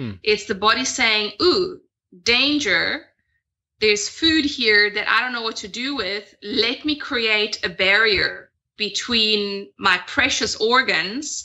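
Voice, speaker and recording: A woman's fairly high voice, very slow pace and lively intonation. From Italy. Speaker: health and detox coach; podcast guest. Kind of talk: podcast interview. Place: home room. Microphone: video call.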